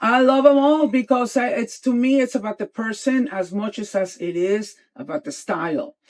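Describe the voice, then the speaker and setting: This woman talks with a Spanish accent at a high pitch and a moderate pace, with hardly any pauses. Her tone is animated and her pitch variation ordinary. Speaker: interior designer. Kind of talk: podcast interview. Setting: in a van.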